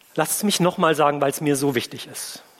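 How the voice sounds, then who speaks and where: A man's lively intonation carries through noticeable background noise. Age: 50s. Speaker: pastor. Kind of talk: sermon.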